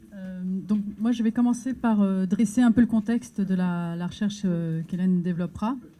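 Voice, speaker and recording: A woman's somewhat breathy voice at a medium pitch. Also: ordinary pitch variation, moderate pace. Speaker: NGO staff member presenting research. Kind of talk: conference talk. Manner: hesitant, many filler words.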